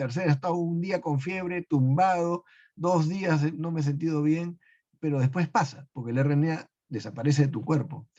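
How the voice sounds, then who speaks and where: Against a quiet background, a man with a dark, mellow, somewhat breathy tone speaks at a moderate pace with ordinary pitch variation. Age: 70s. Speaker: medical researcher. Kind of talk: webinar Q&A. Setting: live webinar.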